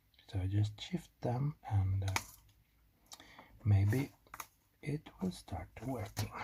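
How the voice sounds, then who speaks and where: Someone with a non-native accent talks at a very slow pace, leaving long, frequent pauses. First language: not English. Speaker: electronics hobbyist YouTuber. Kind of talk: tutorial. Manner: casual, self-deprecating chatter with hesitations.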